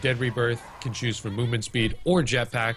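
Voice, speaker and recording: A man at a moderate pace and medium pitch, in a normal speaking voice. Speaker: esports caster. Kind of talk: live commentary.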